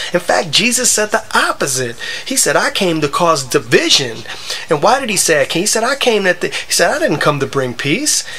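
With an American accent, a man speaks at a moderate pace, high in pitch for a man, with very wide pitch swings. Noticeable background noise is present. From US Midwest (Wisconsin). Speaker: gaming video creator. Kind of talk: gameplay commentary with religious monologue. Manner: halting, many fillers.

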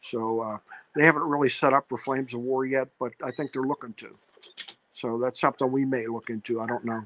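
A man with an American accent talks at a fairly quick pace in a monotone, flat intonation. The sound is dry with no echo, over light background noise. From Pittsburgh, Pennsylvania. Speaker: tabletop wargamer; guest. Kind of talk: casual interview; casual interview conversation. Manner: halting, many repeated words. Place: home room. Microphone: video call.

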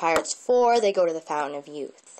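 The tempo is moderate. The voice belongs to a woman. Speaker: vlogger. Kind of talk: casual vlog chat. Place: home room. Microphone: earbuds.

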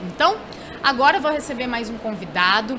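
A woman's raised, projected voice with a Portuguese accent and very wide pitch swings, over noticeable background noise. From Brazil. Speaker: event show host. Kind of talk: live interview. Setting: studio at a live trade fair. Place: hall. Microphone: studio mic.

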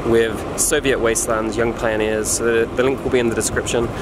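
A man's speech runs at a fairly quick pace while loud background noise carries on. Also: dry sound with no echo. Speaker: travel vlogger. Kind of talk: casual vlog chat. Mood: reflective, wrapping up. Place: street. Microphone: phone near.

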